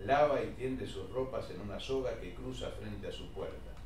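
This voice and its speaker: Noticeable background noise runs under a man who speaks fairly slowly. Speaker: reader of stage directions. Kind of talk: reading aloud.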